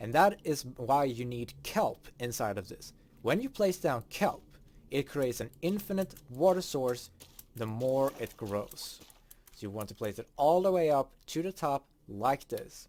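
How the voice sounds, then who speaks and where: A man with a Swedish accent talks at a fairly slow pace. His fairly high voice makes very wide pitch swings. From Sweden. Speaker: gaming streamer. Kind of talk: tutorial.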